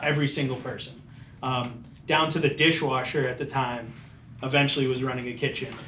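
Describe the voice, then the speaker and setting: Someone with an American accent speaks at a fairly quick pace in a monotone, flat manner. Room echo is audible. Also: man, medium pitch for a man. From Florida, Tampa area. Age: 30s. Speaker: chef and deli owner. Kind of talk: casual interview.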